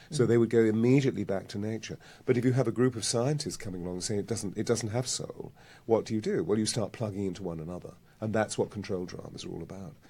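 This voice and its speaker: Talking very fast at a medium pitch, a man with a dark, mellow tone uses ordinary pitch variation and big swings in loudness. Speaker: voice coach and healer. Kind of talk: interview answer.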